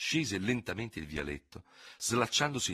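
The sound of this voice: The speech comes in an unforced reading voice.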